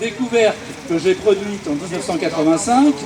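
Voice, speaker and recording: Noticeable background noise runs through the clip. A man talks with lively intonation. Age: 60s. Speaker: self-taught physicist and inventor. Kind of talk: speech at a protest. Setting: outdoor protest rally.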